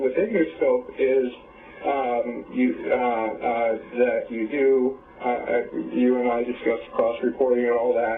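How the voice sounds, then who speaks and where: A man speaks in a medium-pitched voice. Noticeable background noise sits behind him. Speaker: person reporting a crime to social services. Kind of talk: meeting with social workers. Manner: halting, many fillers; gets loud when excited.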